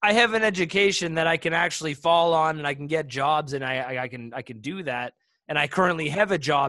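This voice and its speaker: A man's bright, sharp voice, fairly high in pitch, with ordinary pitch variation and a fairly quick pace, in a very clean recording with a silent background. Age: 20s. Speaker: podcast co-host. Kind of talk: casual chat.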